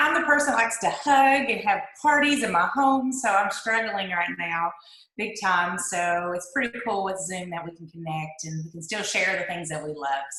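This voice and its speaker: A woman with a strong eastern Kentucky accent at a medium pitch and moderate pace, with very wide pitch swings, big swings in loudness, and noticeable background noise. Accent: heavy eastern Kentucky. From eastern Kentucky mountains. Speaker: direct-sales businesswoman. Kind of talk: testimony. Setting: video call.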